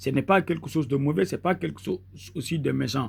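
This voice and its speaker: A man with a Senegalese accent and vocal fry. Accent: Senegalese Wolof-accented French. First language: Wolof (speaking French). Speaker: mystic healer, charm maker. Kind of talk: tutorial. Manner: halting, with repetitions and fillers.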